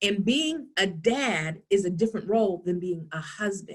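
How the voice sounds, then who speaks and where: Speaking at a moderate pace with a New York accent, a woman sounds animated and somewhat breathy. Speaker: workshop presenter on social emotional learning. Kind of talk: online workshop talk.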